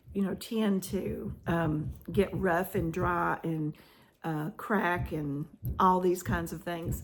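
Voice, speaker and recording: A woman's fairly low voice with vocal fry, very slow pace and fairly even intonation. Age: 60s. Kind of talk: casual vlog talk. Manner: halting, many fillers.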